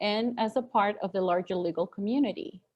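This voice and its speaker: A woman's plain, everyday voice, fairly high in pitch with ordinary pitch variation, over a quiet background. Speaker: town hall moderator. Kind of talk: moderated town hall Q&A and speaker introduction.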